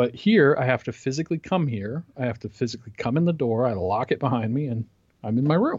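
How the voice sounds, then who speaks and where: Speaking very fast, a man with a medium pitch uses lively intonation and sounds somewhat breathy. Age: 40s. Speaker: podcast co-host. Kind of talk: casual chat.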